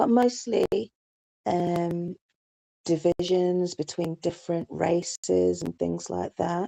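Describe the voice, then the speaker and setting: A woman speaks in a British accent, her tone dark and mellow. She talks at a very slow pace. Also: dry, close sound with no echo. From England, London. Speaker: YouTube live streamer. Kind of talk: live stream chat. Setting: live stream. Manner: casual, hesitant with many fillers.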